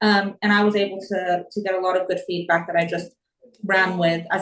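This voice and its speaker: A woman talks at a very fast pace with a medium pitch. Her intonation stays monotone and flat. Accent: American. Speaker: property investor. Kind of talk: interview.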